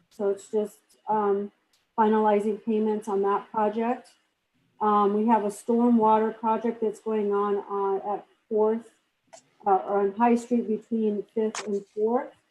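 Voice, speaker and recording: Fairly high-pitched woman's voice, monotone with flat intonation, dark and mellow in tone, at a fairly slow pace. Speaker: town staff member. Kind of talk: staff report at council meeting. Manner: loud. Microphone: poor microphone.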